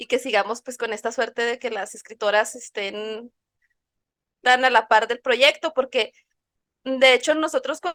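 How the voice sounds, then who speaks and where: A woman's high pitch with ordinary pitch variation, a bright, sharp tone, big swings in loudness, a fairly slow pace with long, frequent pauses, and a dry, close sound with no echo. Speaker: podcast co-host. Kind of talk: casual chat. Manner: animated.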